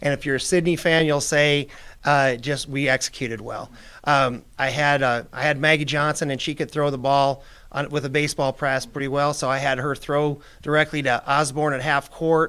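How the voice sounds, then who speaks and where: In a Midwestern American accent, a man speaks at a fairly high pitch with monotone, flat intonation and a bright, sharp tone on a very clean recording with a silent background. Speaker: retired girls basketball coach. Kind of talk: interview. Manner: fast.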